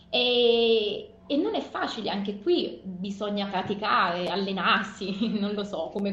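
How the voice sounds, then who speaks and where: Speaking at a fairly slow pace and medium pitch, a woman uses ordinary pitch variation amid noticeable background noise and audible room echo. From Naples, southern Italy. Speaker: mother and former team manager. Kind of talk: interview. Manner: hesitant, with fillers.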